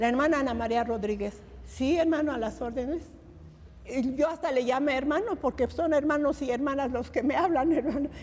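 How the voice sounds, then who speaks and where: At a moderate pace, a woman talks in a high pitch with ordinary pitch variation over noticeable background noise. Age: 80s+. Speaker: lay preacher. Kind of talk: testimony. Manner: animated.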